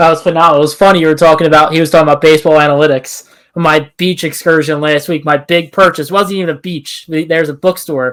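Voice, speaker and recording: A man with an American accent and a fairly high pitch rushes along at a very fast pace in a flat monotone with hardly any pauses, captured in a very clean recording with a silent background. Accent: slight Delco accent, by some people's account. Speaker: podcast co-host. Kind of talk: casual chat.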